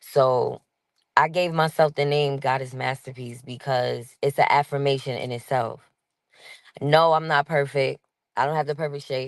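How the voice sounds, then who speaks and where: In a New York accent, a woman speaks at a moderate pace with a very deep, low pitch. Her intonation is monotone and flat, and the sound is dry and close with no echo. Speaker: podcast guest. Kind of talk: casual chat. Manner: abrasive-sounding.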